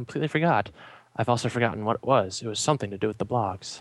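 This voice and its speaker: Recorded very cleanly with a silent background, a man with an American accent speaks very fast. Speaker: fan podcast guest. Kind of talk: casual chat.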